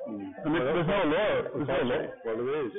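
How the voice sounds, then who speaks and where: Amid noticeable background noise, a man with a fairly high pitch for a man speaks fairly quickly with very wide pitch swings. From Cumbria, England. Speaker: street preacher. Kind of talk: conversation with police officer. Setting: secretly recorded, outdoors.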